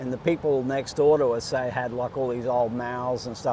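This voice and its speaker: With an Australian accent, a man of medium pitch speaks at a moderate pace in a monotone, flat delivery against noticeable background noise. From Australia, Queensland (Gold Coast). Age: 50s. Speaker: bodyboarder. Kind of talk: casual interview. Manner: halting, filler-heavy.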